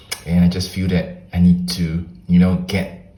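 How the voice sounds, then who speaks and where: A man with a very deep, low pitch speaks amid audible room echo and noticeable background noise. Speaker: journaling video creator. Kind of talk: casual tutorial walkthrough.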